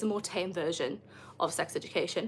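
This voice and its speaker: The voice has a bright, sharp tone and lively intonation at a moderate pace. The recording is very clean, with a silent background. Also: woman. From northeast England, Northumberland. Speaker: content creator. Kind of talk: livestream chat. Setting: livestream. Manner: animated.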